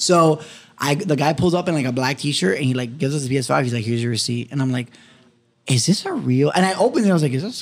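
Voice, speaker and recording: A man with an American accent, fairly high in pitch, animated in tone and very fast in pace. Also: lively intonation. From Miami, Florida (West Kendall). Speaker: podcast co-host. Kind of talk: casual chat. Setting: studio.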